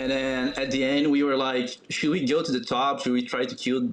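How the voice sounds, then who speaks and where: A medium-pitched man with a Portuguese accent and fairly even intonation, amid audible room echo. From Brazil. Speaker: esports player. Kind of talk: interview. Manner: halting.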